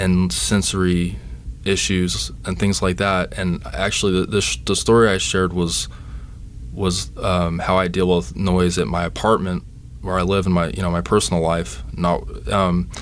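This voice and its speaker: Over noticeable background noise and audible room echo, a man with an American accent speaks at a moderate pace in a very deep, low voice with lively intonation. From Texas, Dallas. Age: 30s. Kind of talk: interview. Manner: halting, many fillers and restarts.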